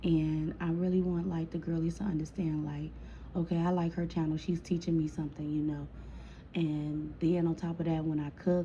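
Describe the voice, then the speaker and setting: A woman with a fairly low pitch and a dark, mellow tone, somewhat breathy, at a fairly quick pace with monotone, flat intonation. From Chicago. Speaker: storytime vlogger. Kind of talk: casual storytime monologue. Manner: casual, chatty.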